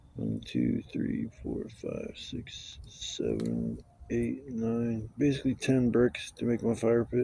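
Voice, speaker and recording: A man mumbles at a very slow pace. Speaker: camping vlogger. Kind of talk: casual solo vlog monologue. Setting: outdoors at a campsite. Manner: rambling, mumbling.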